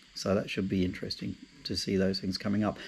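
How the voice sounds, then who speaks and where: A man with an Australian accent talks at a fairly low pitch on a very clean recording with a silent background. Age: 60s. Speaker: travel vlogger, retiree. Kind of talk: casual vlog monologue. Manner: halting, many fillers and repeats.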